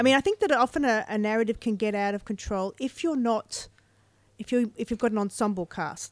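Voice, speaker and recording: On a very clean recording with a silent background, a woman with a normal speaking voice talks at a fairly quick pace and fairly high pitch, with ordinary pitch variation. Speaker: author. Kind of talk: casual chat. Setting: bookstore with live audience.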